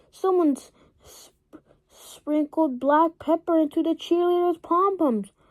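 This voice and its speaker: A woman's put-on character voice at an extremely high pitch, fairly slow in pace, with a dry, close sound with no echo. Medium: read story.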